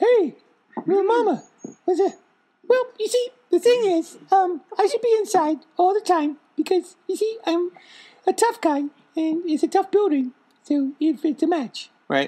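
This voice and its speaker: An extremely high-pitched put-on character voice moves at a moderate pace with long, frequent pauses. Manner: cocky, swaggering.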